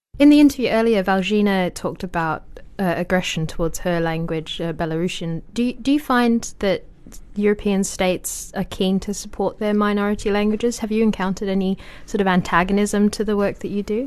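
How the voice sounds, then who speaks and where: The speaker talks at a fairly quick pace. The voice carries a British accent. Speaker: books podcast co-host, interviewer. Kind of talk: interview. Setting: studio.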